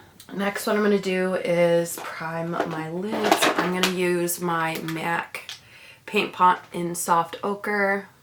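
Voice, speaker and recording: Noticeable background noise sits under a very slow, monotone, flat delivery. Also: woman, fairly low pitch for a woman. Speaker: beauty vlogger. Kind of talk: tutorial. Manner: casual.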